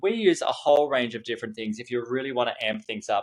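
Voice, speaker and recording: In an Australian accent, the speaker goes at a fairly quick pace, and the sound is dry and close with no echo. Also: man. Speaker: event marketing consultant. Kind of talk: podcast interview. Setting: studio.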